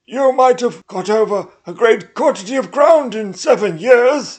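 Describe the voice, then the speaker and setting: Someone uses a put-on character voice at a fairly high pitch. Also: moderate pace. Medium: read story. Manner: businesslike yet deferential.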